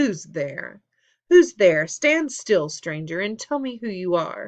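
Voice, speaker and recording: A put-on character voice growls at a middle pitch and a fairly slow pace. The background is quiet. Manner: menacing, demanding.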